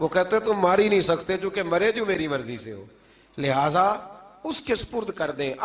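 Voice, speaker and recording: A man's high-pitched voice with lively intonation and big swings in loudness, against noticeable background noise. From Pakistan. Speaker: Islamic scholar and preacher. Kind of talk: religious sermon.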